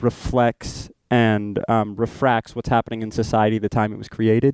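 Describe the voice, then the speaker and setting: With an American accent and an unremarkable speaking voice, a man talks at a moderate pace and medium pitch, recorded with a dry, close sound and no echo. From Oregon. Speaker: stage actor. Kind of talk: casual chat.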